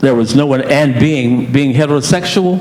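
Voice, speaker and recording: Audible room echo and noticeable background noise around a male voice. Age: 70s. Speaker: HIV advocate and panelist. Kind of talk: personal testimony on a conference panel. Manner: halting, with frequent fillers and repetitions.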